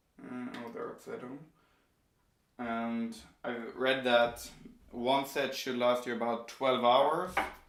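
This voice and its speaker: A man speaks at medium pitch, very slowly, with long, frequent pauses and monotone, flat intonation. His loudness swings widely, and the room echo is audible. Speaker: tech YouTuber. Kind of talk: unboxing video. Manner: casual, with hesitations.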